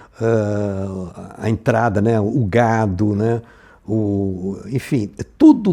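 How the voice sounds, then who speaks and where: A man's dark, mellow tone. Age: 80s+. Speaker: filmmaker. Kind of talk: interview testimony. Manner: halting, with many repetitions and fillers.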